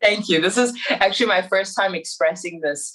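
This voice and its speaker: A woman with an American accent talks at a moderate pace with lively intonation. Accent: Americanized. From Iran, raised abroad as third culture kid. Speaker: musician. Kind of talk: podcast interview.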